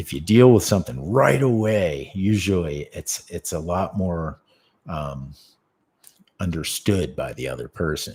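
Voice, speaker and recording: On a very clean recording with a silent background, a man with a very deep, low pitch speaks with lively intonation and big swings in loudness. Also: fairly slow pace. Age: 50s. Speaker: martial arts teacher. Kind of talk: casual chat. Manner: halting.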